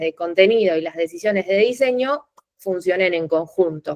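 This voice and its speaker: Her pitch sits in the medium range. This woman's pitch variation is ordinary. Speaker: UX content designer. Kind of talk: lecture. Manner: fast.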